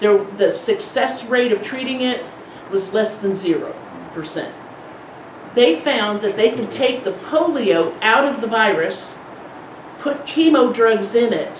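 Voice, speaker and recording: Amid noticeable background noise and audible room echo, a woman with a fairly high pitch talks at a fairly slow pace, her intonation lively and her pauses long and frequent. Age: 60s. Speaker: polio support group speaker. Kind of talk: presentation to a support group. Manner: conversational.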